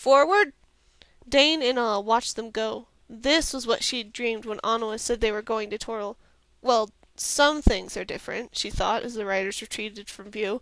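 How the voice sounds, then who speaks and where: A woman talks in a plain, everyday voice at a fairly high pitch, with ordinary pitch variation. Her pace is moderate and the background is quiet. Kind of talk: audiobook read-aloud. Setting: headset microphone.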